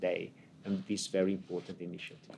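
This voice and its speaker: A man with an Italian accent, at a fairly quick pace, in monotone, flat intonation. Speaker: ambassador. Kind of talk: unscripted opening speech. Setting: conference event, hybrid. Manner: halting, many fillers.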